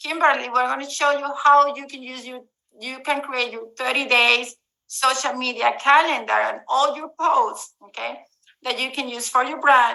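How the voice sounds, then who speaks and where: Speaking at a moderate pace, a woman projects a raised, high-pitched voice with a bright, sharp tone. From Latin America. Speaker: real estate investor and marketing presenter. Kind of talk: webinar presentation.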